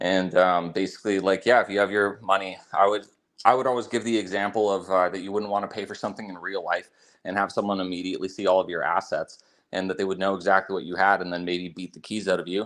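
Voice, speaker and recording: Against a quiet background, a man talks very fast in a very deep, low pitch with monotone, flat intonation. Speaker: crypto privacy advocate. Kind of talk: casual chat. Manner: halting, many fillers.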